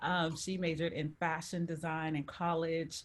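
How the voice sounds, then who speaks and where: With an American accent, a woman uses a normal speaking voice at a fairly low pitch and fairly slow pace, on a very clean recording with a silent background. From Texas, Houston. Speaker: interior designer, entrepreneur. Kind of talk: panel discussion.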